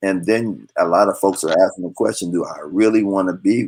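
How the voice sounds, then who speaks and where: This man has a plain, everyday voice, speaking at a moderate pace with a fairly low pitch and ordinary pitch variation. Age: 60s. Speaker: marriage and crisis counselor. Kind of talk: talk show interview.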